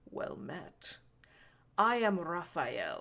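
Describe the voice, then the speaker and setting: This booming delivery is a put-on character voice. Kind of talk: aristocrat addressing the masses. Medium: read story. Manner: theatrical, smug.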